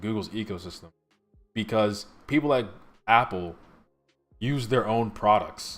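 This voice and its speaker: Music plays in the background while a man's pitch varies in an ordinary way. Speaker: tech YouTuber. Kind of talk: live stream after-party commentary.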